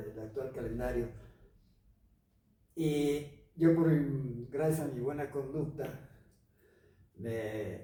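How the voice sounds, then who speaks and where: A man's somewhat breathy voice with a dark, mellow tone and fairly high pitch, ordinary pitch variation, a very slow pace, long, frequent pauses and audible room echo. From Mexico, Los Altos de Jalisco (Jalostotitlán). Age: 70s. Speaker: broadcaster, actor, writer and painter. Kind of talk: interview. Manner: halting.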